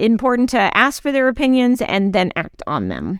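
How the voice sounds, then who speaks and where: At a moderate pace, a woman talks in a normal speaking voice with ordinary pitch variation. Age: 50s. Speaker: HR consultant, podcast co-host. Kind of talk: casual chat.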